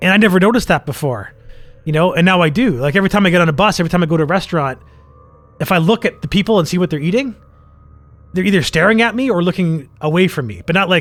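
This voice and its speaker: Music plays behind a man with a high voice who speaks very fast. His tone is animated and his pitch moves an ordinary amount. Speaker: podcast co-host. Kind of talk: casual chat.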